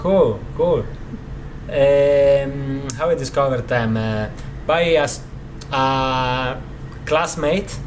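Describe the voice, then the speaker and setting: With an Italian accent, a man speaks very slowly at a fairly high pitch, leaving long, frequent pauses amid noticeable background noise and audible room echo. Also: ordinary pitch variation. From Italy, Rovigo (Veneto). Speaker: guitarist. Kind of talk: interview. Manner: halting, many fillers.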